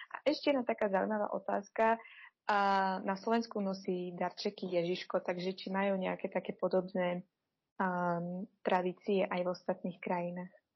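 A woman at a moderate pace and medium pitch, her intonation fairly even. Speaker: schoolteacher. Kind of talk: interview. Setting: remote call.

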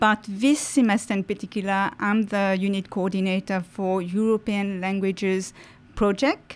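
Speaking with a Mauritian accent, a woman has medium pitch. Her pace is moderate and her intonation fairly even. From Mauritius. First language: French. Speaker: university French teacher. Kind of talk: casual interview. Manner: hesitant, many fillers.

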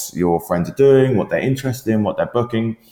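A man's voice with ordinary pitch variation. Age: 20s. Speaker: startup founder. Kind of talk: interview. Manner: hesitant, many fillers.

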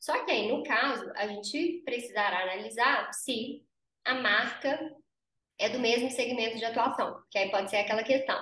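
Over audible room echo, a woman speaks at a moderate pace in a bright, sharp, high-pitched voice with ordinary pitch variation. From Brazil, interior of Minas Gerais. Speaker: lawyer and business founder. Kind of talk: interview.

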